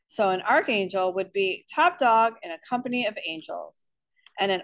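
Over a quiet background, the pitch shifts in an ordinary way during plain reading aloud.

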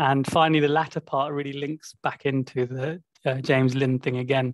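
Recorded with a dry sound and no echo, a man talks over a quiet background. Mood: relaxed, friendly. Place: home room. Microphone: video call.

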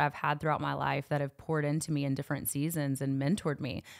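A woman speaks in a very deep, low voice with flat, monotone intonation. The recording is very clean, with a silent background. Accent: slight Southern US. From Knoxville, Tennessee. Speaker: youth ministry worker. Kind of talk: casual chat.

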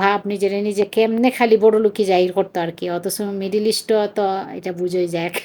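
A woman speaks in a Sylheti accent at a medium pitch. Her tone is dark and mellow, her intonation monotone and flat. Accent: Sylheti Bengali. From Bangladesh, Sylhet (Chunarughat). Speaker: vlogger, mother. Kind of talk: casual vlog narration.

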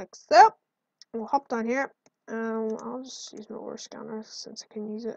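A woman speaks at a fairly high pitch and fairly slow pace. Her loudness swings a lot. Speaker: gaming video creator. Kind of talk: gameplay commentary. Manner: animated; excitable.

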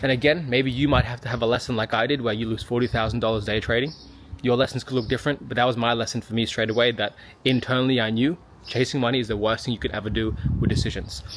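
Through light background noise, a man with an Australian accent rushes along at a very fast pace with fairly even intonation. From Sydney, Australia. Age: 30s. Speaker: physiotherapist and business mentor. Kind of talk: casual talk to camera. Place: garden. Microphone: phone near.

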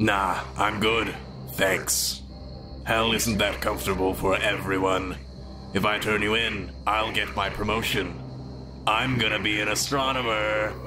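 Against loud background noise, a man puts on a character voice. He speaks fairly slowly at a fairly low pitch. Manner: smug, gloating.

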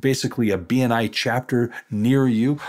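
This man has an ordinary speaking voice at a medium pitch, with fairly even intonation on a very clean recording with a silent background. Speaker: podcast host, accounting education company president. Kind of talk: interview.

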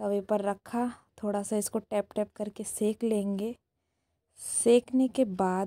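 A woman talks at a very slow pace in a dark, mellow tone. Her intonation is monotone and flat. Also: medium pitch for a woman. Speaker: cooking vlogger. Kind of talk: casual vlog narration.

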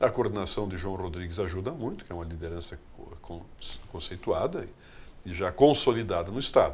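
A man with a fairly low pitch speaks at a moderate pace, somewhat breathy. His loudness swings widely, broken by long, frequent pauses. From southern Brazil, Rio Grande do Sul. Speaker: politician and businessman; politician. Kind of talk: interview. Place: studio. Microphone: studio mic.

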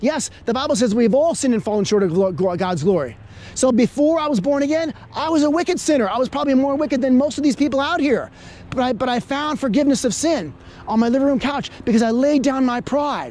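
Very fast and with lively intonation, a man speaks at an extremely high pitch. The sound is dry, with no echo. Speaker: street preacher. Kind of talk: street preaching, debating a passer-by. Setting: outdoors. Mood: argumentative, preachy. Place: street.

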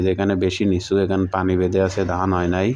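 A man's very deep, low voice in a flat monotone, with noticeable background noise. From Bangladesh, Jessore district (Keshabpur). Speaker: travel vlogger. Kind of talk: vlog narration. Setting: outdoors, riding a motorbike through fields.

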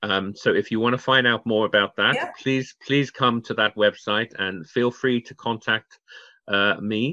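A man speaks with a British accent at a medium pitch. His intonation is fairly even, and the background is quiet. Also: fairly slow pace. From Channel Islands (Guernsey); Channel Islands. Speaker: waste management expert, charity founder; interview guest. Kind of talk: interview. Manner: halting, many fillers. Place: home room. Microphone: video call.

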